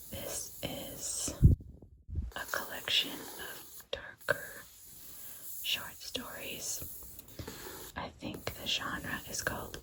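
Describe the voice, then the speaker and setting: Hushed whispering, very slow, broken by long and frequent pauses against noticeable background noise. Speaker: ASMR creator. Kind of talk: ASMR whispered book show-and-tell. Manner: whispered.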